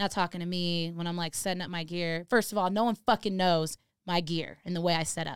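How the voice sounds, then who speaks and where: Speaking with an American accent, a woman uses a plain, everyday voice with a fairly low pitch, fairly even intonation and a fairly quick pace, in a dry, close sound with no echo on a very clean recording with a silent background. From Los Angeles area, California. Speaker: DJ and music producer. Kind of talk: casual interview chat.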